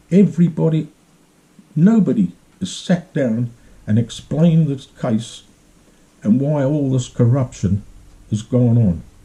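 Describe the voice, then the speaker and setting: A man's fairly high, somewhat breathy, dark and mellow voice, with very wide pitch swings and long, frequent pauses. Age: 70s. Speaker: vlogger telling his own grievance. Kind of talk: personal account, monologue. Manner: repetitive, emphatic.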